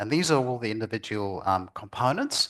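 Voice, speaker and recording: This is a normal speaking voice from a man, medium in pitch. He talks at a moderate pace against a quiet background. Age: 60s. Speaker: lecturer on vaccine safety. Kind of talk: lecture.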